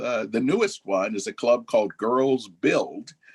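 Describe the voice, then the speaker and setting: In an American accent, a man speaks at a medium pitch with a dry, close sound and no echo. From Southern California. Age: 60s. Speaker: retired judge. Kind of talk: interview.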